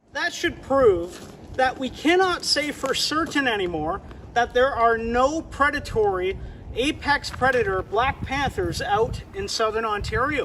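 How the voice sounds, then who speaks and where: Speaking at a fairly slow pace, a man with an extremely high voice swings very widely in pitch against noticeable background noise. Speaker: fishing and wildlife youtuber. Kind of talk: vlog narration.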